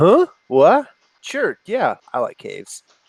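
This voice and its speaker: Put-on character voice from a man, pitched extremely high and paced rather slowly. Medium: actual play. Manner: excitable, repeats himself.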